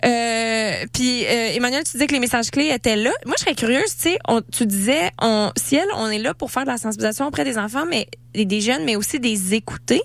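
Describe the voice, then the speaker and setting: Speaking at a fairly quick pace with lively intonation, a woman with a fairly high pitch is heard over noticeable background noise. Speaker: radio host. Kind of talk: casual chat. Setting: studio. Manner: animated.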